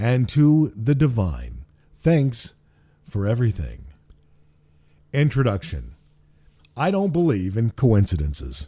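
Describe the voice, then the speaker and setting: In a very clean recording with a silent background, a man speaks fairly slowly in a dark, mellow, somewhat breathy tone, with very wide pitch swings and long, frequent pauses. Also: medium pitch for a man. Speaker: author and radio broadcaster. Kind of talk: audiobook reading of own spiritual book. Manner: warm, peaceful.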